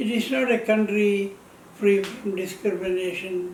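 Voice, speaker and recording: Audible room echo surrounds a man's high-pitched voice, delivered in a monotone, flat intonation. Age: 80s+. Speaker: retired telephone company employee. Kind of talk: personal testimony. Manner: halting.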